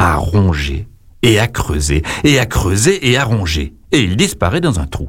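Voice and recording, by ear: This is someone reading aloud. The voice is natural.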